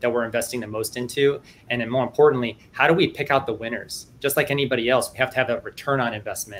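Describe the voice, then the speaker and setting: This man has a normal speaking voice with an American accent, medium pitch and fairly even intonation. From US Midwest, Cleveland, Ohio. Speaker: Air Force innovation liaison. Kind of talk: panel discussion.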